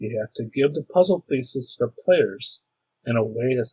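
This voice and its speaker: Somewhat breathy speech comes at a fairly slow pace with ordinary pitch variation. The sound is dry and close, with no echo. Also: man. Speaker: tabletop role-playing game master. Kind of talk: casual talk about role-playing games.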